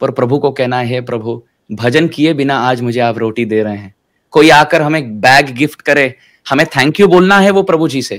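At a fairly slow pace, a man speaks at medium pitch with ordinary pitch variation against a quiet background. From Mumbai, India; India. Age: 20s. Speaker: spiritual teacher. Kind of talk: interview. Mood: calm, warm, explanatory. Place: home room. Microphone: webcam.

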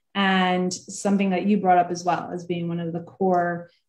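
Against a quiet background with audible room echo, a woman talks in a monotone, flat intonation. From New Jersey, US (moved to Israel at 13). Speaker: online event host and interviewer; interviewer, host. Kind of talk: interview. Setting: video call. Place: home room. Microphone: video call.

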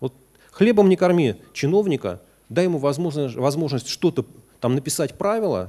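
This man's tone is dark and mellow. His pitch swings very widely. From Russia. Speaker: economist, former deputy finance minister; guest lecturer. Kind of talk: lecture. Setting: university lecture hall with audience. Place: classroom.

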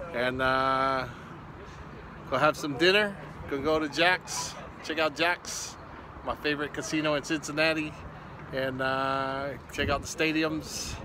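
Noticeable background noise sits under a dry sound with no echo. A man talks at a fairly slow pace in a fairly even tone, leaving long, frequent pauses. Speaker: travel vlogger. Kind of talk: casual vlog chat. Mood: cheerful, relaxed. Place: street. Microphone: phone near.

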